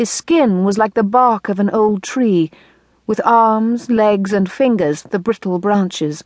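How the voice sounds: A natural reading voice is what this clip features.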